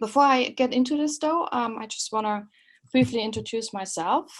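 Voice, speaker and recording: Over a quiet background, the speaker uses lively intonation with a German accent. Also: woman. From Germany (East Germany). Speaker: professor. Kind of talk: webinar lecture. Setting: online webinar. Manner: halting, many fillers.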